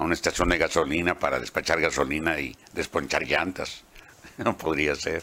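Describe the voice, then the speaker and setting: The speaker uses vocal fry and keeps a moderate pace. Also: man. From Mexico, Baja California (Ensenada). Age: 80s+. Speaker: veteran radio announcer and journalist. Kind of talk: autobiographical interview.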